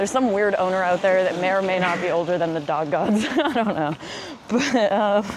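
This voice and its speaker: Against noticeable background noise and audible room echo, a woman with a medium-pitched voice speaks at a fairly quick pace, her loudness very even. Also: ordinary pitch variation. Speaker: vlogger. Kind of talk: casual monologue. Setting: outdoors, walking up a hill. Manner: fast.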